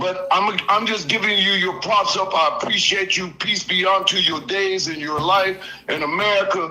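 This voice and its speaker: Raising and projecting his voice, a man speaks at a high pitch and a moderate pace with hardly any pauses and fairly even intonation, while background noise is noticeable. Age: 60s. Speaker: caller. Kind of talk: casual chat.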